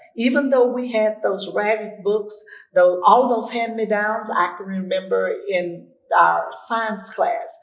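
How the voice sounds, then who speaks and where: A woman's fairly high voice at a very slow pace, with ordinary pitch variation and audible room echo. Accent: Arkansas. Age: 80s. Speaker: school alumni association member. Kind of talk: interview.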